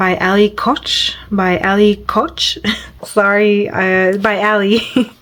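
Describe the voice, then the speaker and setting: Speaking at a very slow pace, a woman uses a medium pitch and fairly even intonation. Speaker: coloring hobby youtuber. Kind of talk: casual video chat about coloring pages. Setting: at home. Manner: halting with pauses and fillers.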